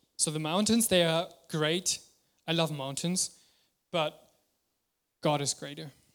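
A man's fairly high voice, fairly even in intonation, at a fairly slow pace with long, frequent pauses. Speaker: preacher. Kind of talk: sermon. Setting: church.

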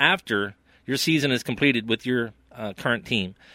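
Speaking with a West Virginia accent, a man uses a bright, sharp tone at medium pitch, with lively intonation and a moderate pace, on a very clean recording with a silent background. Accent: West Virginia Appalachian. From West Virginia, Preston County. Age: 50s. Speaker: local sports commentator. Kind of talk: casual sports chat.

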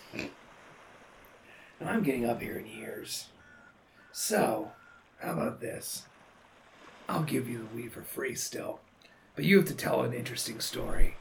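Using a put-on character voice, a raspy man at a medium pitch speaks at a fairly slow pace with long, frequent pauses. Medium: actual play. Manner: laid-back, easygoing.

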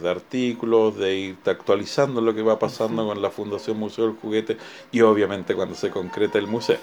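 A man's fairly low voice with ordinary pitch variation, an unremarkable speaking voice. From Chile. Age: 50s. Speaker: museum director. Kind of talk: interview.

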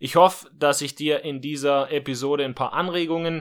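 A man's ordinary speaking voice at a fairly quick pace, fairly even in intonation, on a very clean recording with a silent background. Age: 20s. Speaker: podcast host and online entrepreneur. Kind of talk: solo podcast monologue.

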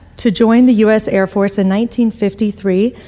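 A woman speaks at a medium pitch with a dark, mellow tone. Her intonation stays fairly even. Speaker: event organizer introducing speakers. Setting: stage with audience.

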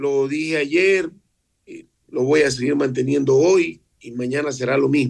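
A man talks at a fairly slow pace in a medium pitch. He has a normal speaking voice. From Ecuador, Esmeraldas. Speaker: mayor. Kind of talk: radio interview.

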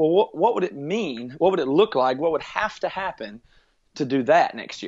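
An American man with an ordinary speaking voice talks at a moderate pace. His intonation is lively. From US South, rural South Carolina. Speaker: musician and podcast producer. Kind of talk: interview.

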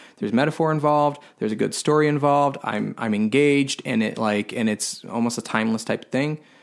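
Speaking very fast with hardly any pauses, a man with an American accent keeps a medium pitch and ordinary pitch variation. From Florida (Tampa). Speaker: filmmaker. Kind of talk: casual interview chat. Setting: in person at host's home.

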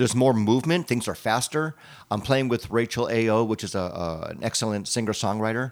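At a fairly quick pace, an ordinary speaking voice shows ordinary pitch variation. Behind it the background is silent, and the recording is very clean. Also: man, medium pitch for a man. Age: 60s. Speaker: podcast co-host and musician. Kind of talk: casual chat.

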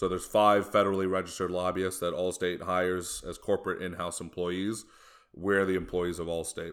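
Speaking with an American accent, a man with a very deep, low pitch goes at a fairly quick pace in monotone, flat intonation. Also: very clean recording, silent background. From Chicago area, US. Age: 30s. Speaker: lobbyist, government affairs director. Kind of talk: casual interview chat.

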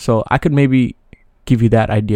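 Very fast speech comes from a man with an American accent and a medium pitch. The sound is dry and close with no echo, the tone dark and mellow, and the background quiet. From New York City. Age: 20s. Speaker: solo podcaster. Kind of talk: casual monologue. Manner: hesitant, many fillers.

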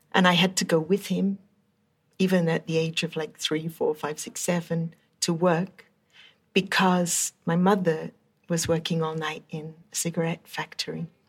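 Her intonation monotone and flat, a woman speaks at a moderate pace in a fairly low, somewhat breathy voice. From England, London area. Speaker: professor. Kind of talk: interview. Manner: casual, with fillers.

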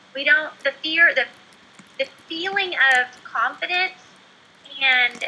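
A woman with an American accent uses a raised, projected voice at a high pitch, her intonation lively. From Oklahoma. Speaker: former teacher turned entrepreneur. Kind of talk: interview.

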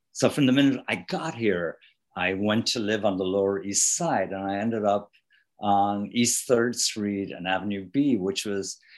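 Over a quiet background, a man with an Irish accent speaks fairly slowly in a fairly low pitch with ordinary pitch variation. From Ireland. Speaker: author and rock musician. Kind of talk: interview.

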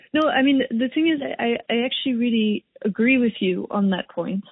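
A woman speaks at a moderate pace with ordinary pitch variation in a plain, everyday voice. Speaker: podcast host. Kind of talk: interview.

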